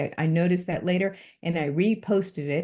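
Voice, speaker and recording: Over a quiet background, a woman talks in a dark, mellow tone with fairly even intonation. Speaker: university instructor. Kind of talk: recorded course overview lecture. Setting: online recorded lecture.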